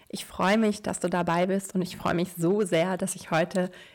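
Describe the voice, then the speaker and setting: A woman's fairly low-pitched voice in a flat monotone at a moderate pace, on a very clean recording with a silent background. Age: 30s. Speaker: podcast host, lawyer and entrepreneur. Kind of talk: solo podcast monologue with story reading.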